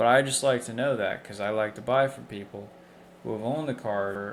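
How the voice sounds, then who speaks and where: Fairly even intonation marks a man speaking at a fairly low pitch. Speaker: licensed used car dealer. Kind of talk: casual talk to camera. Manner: somewhat monotone.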